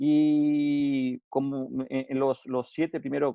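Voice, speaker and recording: The man's voice sits at a fairly high pitch. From Uruguay. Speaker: safety consultant. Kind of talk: webinar lecture. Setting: online webinar. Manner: halting, with frequent repetitions and fillers.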